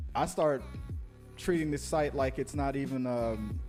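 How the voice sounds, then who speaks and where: A man speaks at a moderate pace with a fairly high pitch. Music plays in the background. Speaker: podcast host. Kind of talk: casual interview conversation.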